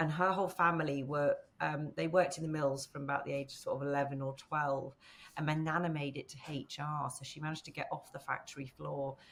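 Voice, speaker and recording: Very fast and flat in delivery, a woman speaks in a very deep, low pitch. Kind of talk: interview answer. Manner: casual, conversational.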